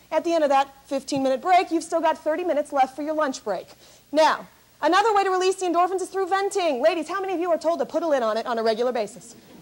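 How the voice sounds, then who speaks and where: A very fast, upbeat delivery with lively intonation over noticeable background noise. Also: woman. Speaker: motivational speaker. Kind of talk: keynote speech to live audience. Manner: high-energy, upbeat.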